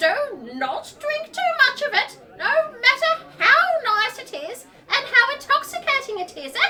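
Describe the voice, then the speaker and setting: In a put-on character voice, the speaker uses an extremely high pitch and a fairly slow pace. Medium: audio drama.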